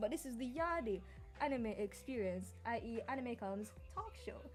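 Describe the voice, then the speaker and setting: A woman speaks at a moderate pace in an animated tone with very wide pitch swings. Music plays in the background. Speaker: podcast host. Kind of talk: live podcast chat.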